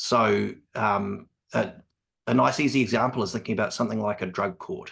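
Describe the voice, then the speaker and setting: Using a New Zealand accent, a man speaks fairly quickly at a fairly low pitch, with vocal fry and ordinary pitch variation. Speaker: evaluation specialist on cost benefit analysis. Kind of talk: panel conversation. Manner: hesitant, many ums.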